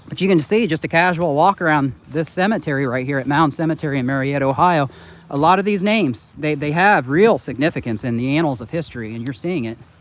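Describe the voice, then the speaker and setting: A man with an Indiana accent at a very fast pace. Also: fairly high pitch for a man, lively intonation. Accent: Hoosier twang. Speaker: channel host. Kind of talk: casual chat.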